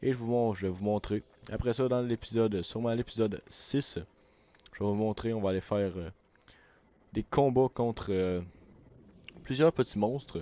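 With a Quebec accent, a man speaks at medium pitch and a moderate pace, his pitch varying in an ordinary way, leaving long, frequent pauses. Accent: Québécois French. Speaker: gaming YouTuber. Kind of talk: let's play commentary. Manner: animated.

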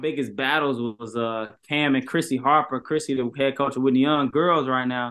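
A man at a moderate pace with hardly any pauses and fairly even intonation. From Chicago. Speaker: basketball trainer and former pro player; basketball trainer. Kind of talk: casual interview. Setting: video call. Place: home room. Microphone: video call.

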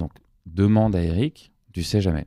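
Very deep and low, a man's voice has a dark, mellow tone and a dry, close sound with no echo. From Paris, France. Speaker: music producer and former doctor. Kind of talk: interview conversation. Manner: hesitant with frequent fillers.

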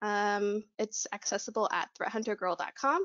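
A woman talks at a moderate pace with only quiet in the background. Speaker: conference speaker. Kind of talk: presentation.

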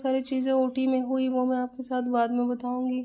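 A woman with a high pitch and a dark, mellow tone speaks fairly slowly in a monotone, flat intonation against a quiet background. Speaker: new mother vlogger. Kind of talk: casual vlog chat. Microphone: phone near.

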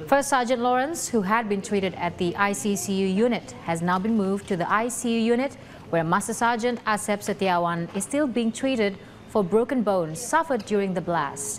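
Noticeable background noise sits behind a woman speaking at a moderate pace and medium pitch with lively intonation. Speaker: news presenter. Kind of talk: scripted English-language TV news report voiceover. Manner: measured, even-paced formal delivery.

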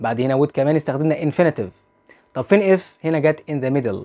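A man with an Egyptian accent speaks in a fairly high pitch with lively intonation and a dark, mellow tone. The background is quiet. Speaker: English teacher. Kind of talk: lecture. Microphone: lapel.

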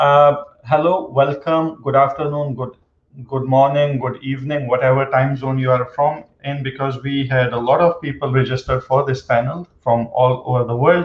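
There is audible room echo as a man talks at a moderate pace, somewhat breathy, in a monotone, flat intonation. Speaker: panel moderator, professor. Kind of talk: panel moderator introduction. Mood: friendly, light humor. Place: home room. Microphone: webcam.

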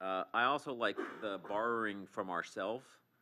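Over noticeable background noise, a man talks at a moderate pace in a fairly low pitch with ordinary pitch variation. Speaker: commissioner. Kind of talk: public meeting discussion. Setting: council chamber meeting. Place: hall. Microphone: podium.

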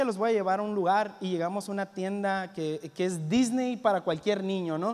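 At a moderate pace, a man speaks in a high voice with ordinary pitch variation. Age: 20s. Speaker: youth pastor. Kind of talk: sermon. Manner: halting, repeats words. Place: church. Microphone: handheld.

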